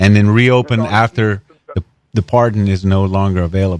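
A man with a plain, everyday voice and a fairly low pitch talks at a fairly quick pace in a very clean recording with a silent background and a dry, close sound with no echo. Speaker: radio co-host. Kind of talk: talk radio co-host.

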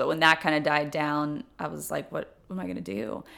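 A woman talks at a fairly quick pace. She speaks with a Tennessee accent. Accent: Southern US (Tennessee). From US South, Memphis, Tennessee. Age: 30s. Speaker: former college cheerleading coach. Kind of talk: interview.

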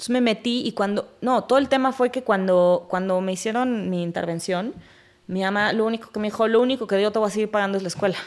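At a very fast pace, a woman with a Mexico City accent speaks at a fairly high pitch with ordinary pitch variation. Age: 30s. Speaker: chef. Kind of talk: casual chat.

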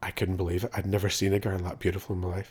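A man's very deep, low voice, somewhat breathy. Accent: Northern Irish. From Northern Ireland. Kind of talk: casual interview.

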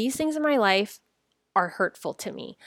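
A woman with an American accent speaks at a moderate pace with lively intonation. The sound is dry and close with no echo, and the recording is very clean with a silent background. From US, San Francisco. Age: 40s. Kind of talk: devotional podcast monologue. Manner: gentle, reflective.

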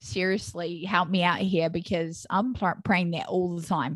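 A woman at a medium pitch and fairly slow pace, against a quiet background. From New Zealand. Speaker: podcast host and mother. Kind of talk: casual interview chat.

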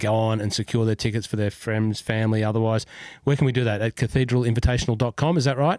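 A man with an Australian accent talks at a very fast pace and a medium pitch, with ordinary pitch variation. The recording is very clean, with a silent background. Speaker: golf podcast host. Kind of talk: casual chat.

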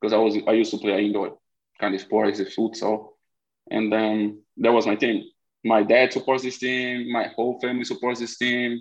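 This man has a Brazilian accent and a medium pitch. He speaks at a moderate pace in a monotone, flat way. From Recife, northeastern Brazil. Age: 20s. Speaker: college soccer striker. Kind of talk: casual interview.

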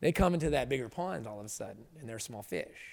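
Fairly quick in pace, a man talks. His pitch is fairly high. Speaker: combat sports commentator. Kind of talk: casual podcast interview. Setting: studio.

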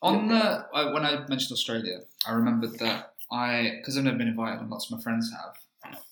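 A man with a London accent talks at a very fast pace in a medium pitch, his intonation lively. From East London, Leytonstone. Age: 20s. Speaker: comedian. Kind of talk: casual chat.

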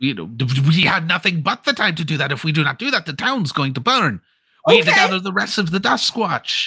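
This man uses a put-on character voice pitched high. His pace is moderate. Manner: urgent, commanding, fast.

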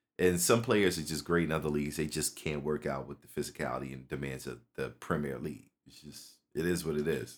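A man's very deep, low voice with an American accent and vocal fry, fairly quick with hardly any pauses, ordinary pitch variation and big swings in loudness. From North Philadelphia, US. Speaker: music producer and football fan. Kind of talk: casual chat.

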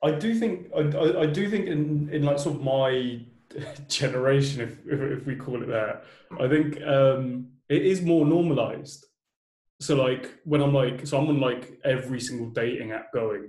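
A man with a British accent speaks at a moderate pace in a fairly high, somewhat breathy voice with a dark, mellow tone and ordinary pitch variation. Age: 20s. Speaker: podcast host. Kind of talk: casual interview chat.

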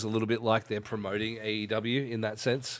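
A man's fairly low voice in an Australian accent. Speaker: podcast host and pro wrestler. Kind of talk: casual chat.

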